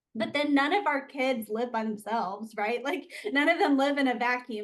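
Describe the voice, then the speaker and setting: Fairly quick delivery in an Alabama accent, with ordinary pitch variation. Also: woman. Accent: Alabama Southern. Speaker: occupational therapist. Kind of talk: interview.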